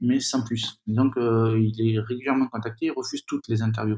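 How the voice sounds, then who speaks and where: A man's somewhat breathy voice comes at a moderate pace in a dry, close sound with no echo. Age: 40s. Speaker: magazine founder and editor. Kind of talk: interview. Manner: halting.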